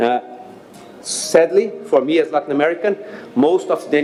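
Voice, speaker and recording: Against noticeable background noise, a man with a Brazilian accent speaks at a fairly high pitch. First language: Portuguese. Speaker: NGO leader. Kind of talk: speech. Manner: halting.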